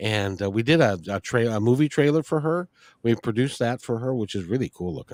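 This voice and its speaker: On a very clean recording with a silent background and a dry, close sound with no echo, a man with a plain, everyday voice speaks at medium pitch with lively intonation. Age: 60s. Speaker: interview show host. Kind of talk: casual interview chat.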